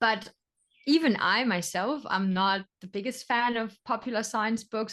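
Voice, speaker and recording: Against a quiet background, a woman with a German accent talks at a moderate pace with ordinary pitch variation. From Germany. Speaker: sea turtle biologist. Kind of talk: interview.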